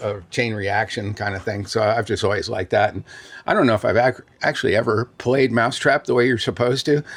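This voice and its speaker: Speech moves at a fairly quick pace with ordinary pitch variation. There is a somewhat breathy quality to it. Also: man, medium pitch for a man. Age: 70s. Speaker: toy store owner. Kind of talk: casual interview during store tour. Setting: in a toy store. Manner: conversational, hesitant with fillers.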